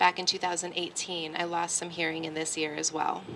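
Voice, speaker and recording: A bright, sharp tone marks this woman's speech. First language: American Sign Language. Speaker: artist. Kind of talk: speech at public event.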